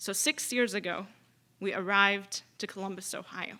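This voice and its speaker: With an Arabic accent, a woman speaks at a fairly slow pace in a fairly high, bright, sharp voice with ordinary pitch variation, on a very clean recording with a silent background. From Syria. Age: 20s. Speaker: student activist and poet. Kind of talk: keynote speech.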